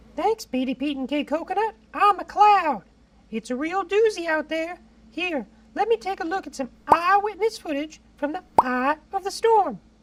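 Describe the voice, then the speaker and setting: An extremely high-pitched, cartoonish character voice, moderately paced. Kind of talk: mock weather report. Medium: puppet. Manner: flustered, silly.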